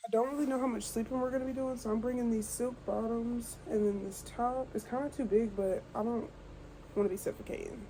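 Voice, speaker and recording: A woman whispering at a fairly quick pace. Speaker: lifestyle vlogger. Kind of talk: get ready with me vlog. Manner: casual.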